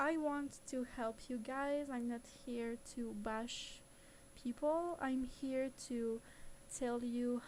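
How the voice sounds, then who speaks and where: Fairly even intonation in a non-native accent. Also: woman. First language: not English. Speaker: 3D animation content creator. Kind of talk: live-streamed software tutorial. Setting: live stream. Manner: hesitant, with fillers.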